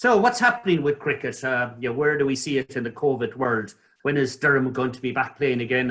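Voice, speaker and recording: A man with a fairly high, bright, sharp voice at a fairly quick pace. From northeast England. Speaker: interviewer, doctor. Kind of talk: interview.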